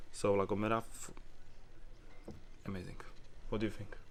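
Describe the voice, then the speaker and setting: A non-native accent with fairly even intonation. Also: man. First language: not English. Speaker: motorcycle tour vlogger. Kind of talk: casual travel vlog narration. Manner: halting, with many fillers.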